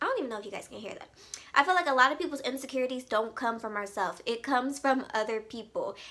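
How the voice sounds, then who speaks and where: Over noticeable background noise, a woman talks at a very fast pace in a raised, projected voice with an animated tone, high pitch, ordinary pitch variation and big swings in loudness. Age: 20s. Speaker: beauty and lifestyle vlogger. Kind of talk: casual chat.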